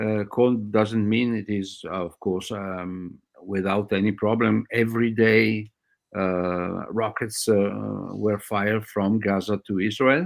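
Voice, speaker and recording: Speech comes at a very slow pace with fairly even intonation and a non-native accent. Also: man, fairly low pitch for a man. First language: not English. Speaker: doctor. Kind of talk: interview. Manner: halting.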